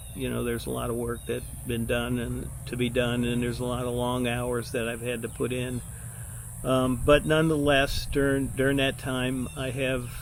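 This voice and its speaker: Through audible room echo and noticeable background noise, a man speaks at a moderate pace. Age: 70s. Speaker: retired city administrator, vlogger. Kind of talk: casual vlog monologue. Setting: outdoors at a fitness trail. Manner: halting, many fillers.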